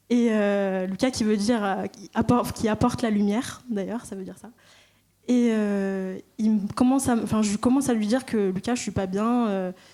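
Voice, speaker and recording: Speaking at a moderate pace, a woman has a fairly high pitch with fairly even intonation. Her tone is dark and mellow. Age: 20s. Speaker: church member giving baptism testimony. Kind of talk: testimony. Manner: halting.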